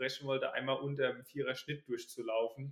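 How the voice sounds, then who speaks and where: A man is speaking. His pitch is fairly high. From Palatinate, Germany (near Kaiserslautern). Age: 20s. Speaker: runner and student. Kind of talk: casual interview.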